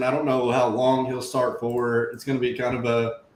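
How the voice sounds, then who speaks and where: A man speaks over noticeable background noise. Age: 30s. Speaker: fantasy football stream host. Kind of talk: casual chat. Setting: live stream.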